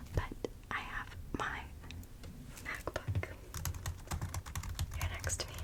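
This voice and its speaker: Noticeable background noise sits under a woman who is whispering. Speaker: ASMR creator. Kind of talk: ASMR study-with-me ramble. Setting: far from microphone. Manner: whispered.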